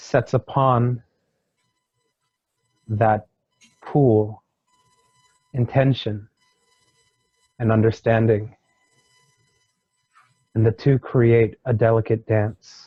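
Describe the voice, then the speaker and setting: Over music in the background, a man at medium pitch speaks very slowly in a flat monotone with long, frequent pauses, very even loudness, and a dry, close sound with no echo. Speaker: hypnosis regression client. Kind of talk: hypnosis regression session, channeled spiritual teaching. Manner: slow, measured, pausing, channeling a wise being.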